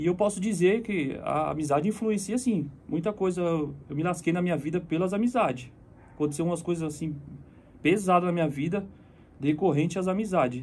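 Fairly quick, high-pitched speech from a man, with ordinary pitch variation. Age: 30s. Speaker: friend of a deceased singer, fitness house member; guest. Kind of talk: casual chat. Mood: reflective, serious. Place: studio. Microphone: phone near.

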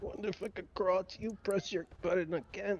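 Delivered at a fairly quick pace, this raspy put-on character voice keeps a fairly even intonation. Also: man, high pitch for a man. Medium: game stream.

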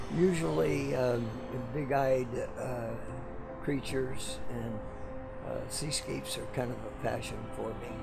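A man speaks at a very slow pace. Loud music plays in the background. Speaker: street artist. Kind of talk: interview answer. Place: street. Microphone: phone near.

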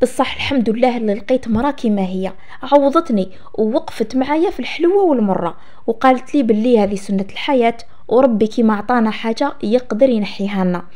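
Someone with an Algerian accent speaks over noticeable background noise. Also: woman, fairly high pitch for a woman, lively intonation, moderate pace. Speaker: storytelling channel host. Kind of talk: first-person story reading.

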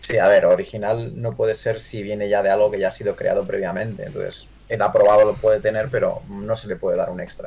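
A man's very fast delivery with hardly any pauses. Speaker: miniature painter; miniature painting streamer. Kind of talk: livestream review chat. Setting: live stream. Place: home room. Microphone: headset.

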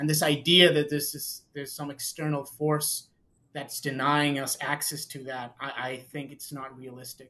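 This man has a Spanish accent and a bright, sharp tone. His intonation is flat and monotone, while his loudness swings widely. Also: fairly high pitch for a man, moderate pace. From Mexico. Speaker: tax and legal advisor. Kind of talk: casual chat. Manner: halting.

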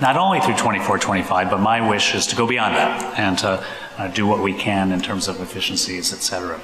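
A man speaks fairly quickly in a fairly low voice with ordinary pitch variation. The room echo is audible, and there is light background noise. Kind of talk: formal presentation to a board. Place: meeting room. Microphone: podium.

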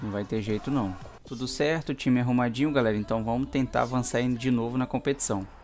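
A man's medium-pitched voice with a Brazilian accent, fairly quick in pace, over music in the background. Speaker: gaming YouTuber. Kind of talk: gameplay commentary. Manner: animated.

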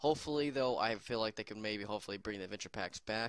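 Racing at a very fast pace, a man with a fairly low pitch has a bright, sharp tone and ordinary pitch variation. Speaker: gaming youtuber. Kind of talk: casual video commentary. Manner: quiet, talking softly.

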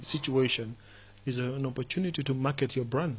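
Somewhat breathy, the man's voice holds a medium pitch. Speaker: podcast host. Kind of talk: interview. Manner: enthusiastic.

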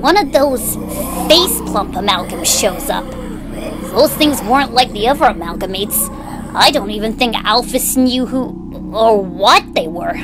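Over loud music in the background, a female-sounding put-on character voice speaks at a high pitch and a moderate pace. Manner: sarcastic, brooding storytelling.

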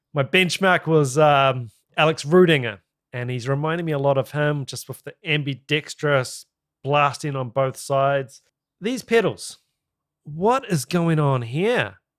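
At a moderate pace and fairly high pitch, a man with a New Zealand accent speaks in an enthusiastic tone against a quiet background. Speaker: YouTube reaction video host. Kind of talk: reaction commentary. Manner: enthusiastic, casual. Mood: impressed, curious. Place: home room. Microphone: studio mic.

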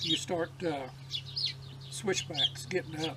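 A man speaks fairly slowly while loud background noise fills the recording. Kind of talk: casual storytelling. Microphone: camera far.

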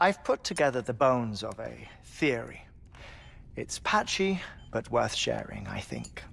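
In a put-on character voice, the speaker moves at a fairly slow pace with big pitch swings, a fairly bright tone, and vocal fry. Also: man, medium pitch for a man.

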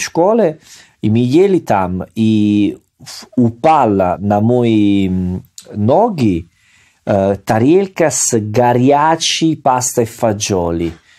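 With an Italian accent, a man talks in a dark, mellow tone and lively intonation. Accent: Italian-accented Russian. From Salerno, Italy. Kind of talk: casual conversational podcast. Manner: fluent but with grammar errors.

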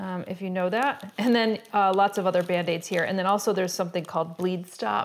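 A woman's voice follows fairly even intonation as she talks. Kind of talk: casual vlog chat. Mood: cheerful, laughing. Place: home room.

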